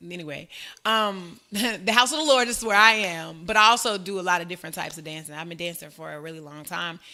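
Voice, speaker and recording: A woman with a Southern accent talks at a very fast pace in a medium-pitched, bright, sharp tone. Her loudness swings widely. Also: ordinary pitch variation. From Arkansas, US South. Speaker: elementary school teacher. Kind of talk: casual podcast interview.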